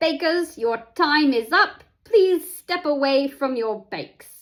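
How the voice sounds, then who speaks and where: A woman puts on a character voice, pitched high, with lively intonation and a fairly slow pace. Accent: British. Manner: announcing, formal.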